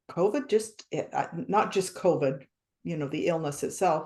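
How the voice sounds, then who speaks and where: A woman's somewhat breathy voice at medium pitch, with an American accent, lively intonation and a fairly slow pace. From small-town USA. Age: 60s. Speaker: author. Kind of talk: interview.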